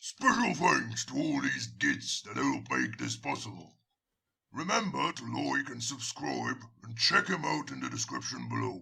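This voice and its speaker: This man puts on a raspy character voice. He talks at a moderate pace. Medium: audio drama. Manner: crude, boisterous.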